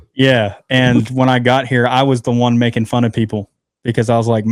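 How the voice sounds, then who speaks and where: In a slight Southern US accent, a man speaks in a monotone with flat intonation and very even loudness. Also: medium pitch for a man. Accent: Southern US, slight twang. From moved from the northern US to the South. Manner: casual, chatty, many fillers.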